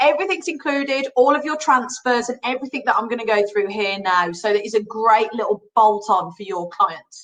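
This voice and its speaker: A woman speaks with a Birmingham accent, her pitch fairly high and her tone bright and sharp. Her intonation is lively and her pace moderate. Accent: Birmingham (Brummie). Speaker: cruise line sales representative. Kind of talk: trade webinar presentation. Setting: online webinar. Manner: animated.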